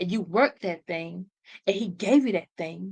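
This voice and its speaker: A woman talks at a fairly slow pace and medium pitch, with vocal fry. Her tone is animated, and her pitch varies in an ordinary way. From US, urban housing projects. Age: 30s. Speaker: motivational podcast host. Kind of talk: motivational talk.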